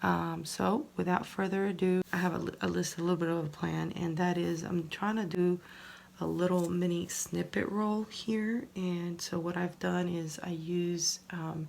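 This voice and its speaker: Soft-spoken, a woman uses a fairly low voice with fairly even intonation. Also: moderate pace. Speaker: crafting YouTuber. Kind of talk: casual tutorial. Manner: soft-spoken, low volume; hesitant, many fillers.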